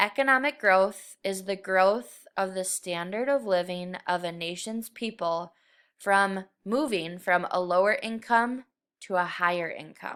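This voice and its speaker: An unremarkable speaking voice moves at a fairly slow pace with ordinary pitch variation, on a very clean recording with a silent background. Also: woman, medium pitch for a woman. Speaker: middle school teacher. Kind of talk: recorded lesson. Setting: screen recording.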